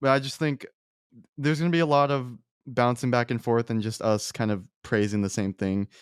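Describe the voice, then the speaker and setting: A man's plain, everyday voice at a medium pitch, fairly quick in pace, with ordinary pitch variation and a dry, close sound with no echo. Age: young. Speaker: podcast host, film student. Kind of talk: casual chat. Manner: casual, conversational.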